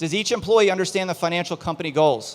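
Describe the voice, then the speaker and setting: A man at a very fast pace, with a fairly high pitch. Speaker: business consultant. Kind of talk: presentation to live audience. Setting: outdoor event stage with audience.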